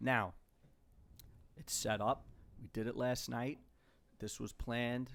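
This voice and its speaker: Speaking in a New York accent at medium pitch, a man moves at a fairly slow pace with long, frequent pauses. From New York (Queens). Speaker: podcast co-host, YouTuber, father. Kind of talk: casual family chat. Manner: animated.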